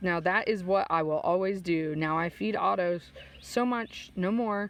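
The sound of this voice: The woman's pitch is fairly low, with ordinary variation. She speaks at a fairly slow pace.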